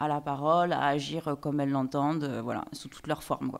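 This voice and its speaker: A woman speaks with a slight Vaud accent. The recording is very clean, with a silent background. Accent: slight Swiss (Vaud). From Switzerland, canton of Vaud. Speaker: singer, actress and film director. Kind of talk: interview. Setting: TV talk show studio. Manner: fast, rapid-fire when passionate.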